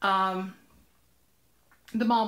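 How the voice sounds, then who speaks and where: A woman is speaking at a medium pitch. Her tone is animated. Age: 40s. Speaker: vlogger. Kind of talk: casual vlog storytelling. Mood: upbeat, warm. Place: home room. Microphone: webcam.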